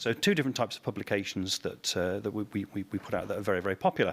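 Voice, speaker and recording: A man's fairly low voice with a British accent at a very fast pace, with ordinary pitch variation, in a very clean recording with a silent background. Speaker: anesthesiologist. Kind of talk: conference talk. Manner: halting.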